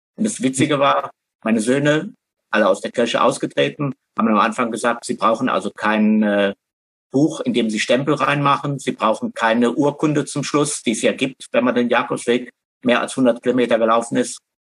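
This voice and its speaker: A man speaks in a plain, everyday voice at a medium pitch with ordinary pitch variation and a moderate pace. The sound is dry and close, with no echo. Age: 60s. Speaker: pilgrimage hiker. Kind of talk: casual interview. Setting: internet call.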